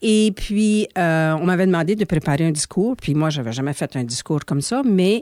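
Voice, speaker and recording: This woman has an ordinary speaking voice, fairly low in pitch, with lively intonation at a moderate pace. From Manitoba, Canada (Saint-Pierre). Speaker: former association executive director. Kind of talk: interview.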